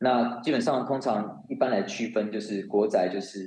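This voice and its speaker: Fairly slow speech from a man with a fairly low pitch and ordinary pitch variation. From Taiwan. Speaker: finance and compliance professional. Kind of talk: interview. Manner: halting, frequent repetitions.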